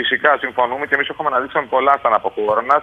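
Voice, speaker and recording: This man talks at a fairly quick pace in a medium pitch. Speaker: local municipal official for culture. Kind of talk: TV news interview. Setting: remote link from his town. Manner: halting, with many fillers. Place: waterside. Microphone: phone line.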